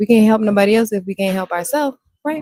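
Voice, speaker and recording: A soft-spoken woman's voice, dark and mellow in tone, at a very fast pace, with a dry, close sound and no echo. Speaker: podcast co-host, nursing student. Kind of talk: casual chat. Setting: livestream on Facebook.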